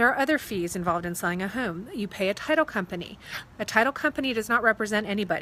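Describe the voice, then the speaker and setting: In a very clean recording with a silent background, a woman talks at a very fast pace with a fairly high pitch and a bright, sharp tone. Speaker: real estate agent. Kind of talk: casual vlog explanation. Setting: outdoors.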